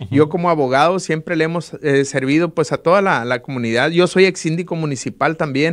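At a fairly quick pace, a man talks with a fairly high pitch and ordinary pitch variation. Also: quiet background. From Sinaloa, Mexico. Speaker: political candidate, lawyer; candidate. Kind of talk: interview. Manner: hesitant, many filler words. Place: studio. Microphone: studio mic.

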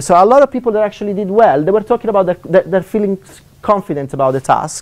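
A man with an Italian accent speaks at a high pitch. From Italy. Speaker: economics lecturer. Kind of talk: seminar talk. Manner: fast talker; hesitant, many fillers. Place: classroom.

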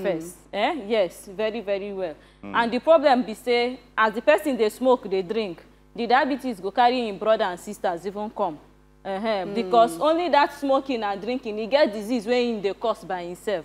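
Music plays in the background while a woman with a fairly high pitch speaks at a moderate pace. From Nigeria. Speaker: dietitian. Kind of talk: TV talk show guest answers. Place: studio. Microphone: lapel.

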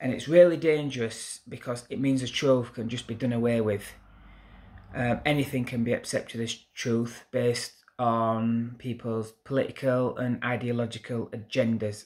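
With a Yorkshire accent, the speaker keeps a moderate pace and fairly even intonation. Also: man. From Yorkshire, northern England. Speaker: YouTuber, political commentator; commentator. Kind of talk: opinion monologue to camera. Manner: hesitant fillers. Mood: indignant, earnest. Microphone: phone near.

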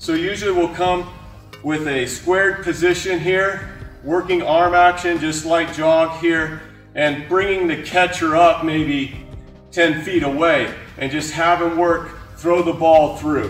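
A man speaks at a high pitch and a fairly slow pace, with fairly even intonation. Audible room echo and faint music can be heard in the background. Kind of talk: tutorial. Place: gym. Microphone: camera far.

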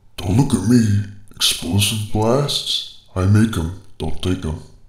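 In a cartoonish character voice, a man talks at a fairly slow pace with a fairly low pitch. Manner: dry, sardonic, deadpan.

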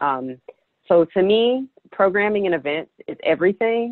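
Against a quiet background, a woman speaks with a dry sound and no echo. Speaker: emerging architect; panelist. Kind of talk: personal story in panel discussion. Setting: video call. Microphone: earbuds.

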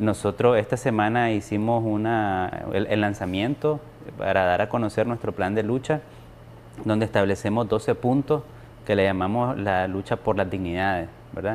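At a moderate pace and very even loudness, a man speaks at a fairly low pitch with ordinary pitch variation over light background noise. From Nicaragua. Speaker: opposition activist; opposition political council member. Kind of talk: formal TV interview. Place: studio. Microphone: lapel.

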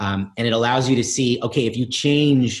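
Against a quiet background, a man speaks with an American accent. His voice is somewhat breathy. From New York City (East Village); New York City. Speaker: tech company founder and CEO; guest. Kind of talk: interview; interview answer.

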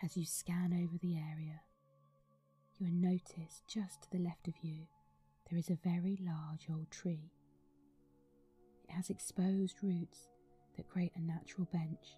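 Over background music, a woman speaks at a fairly low pitch in a flat monotone. Her pace is fairly slow, with long, frequent pauses. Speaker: meditation guide. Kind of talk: guided meditation. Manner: slow, soft-spoken.

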